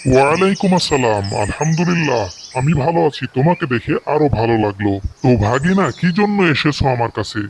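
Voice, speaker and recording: A man puts on a cartoonish character voice. It sits at a fairly high pitch. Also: moderate pace. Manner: relaxed, kindly.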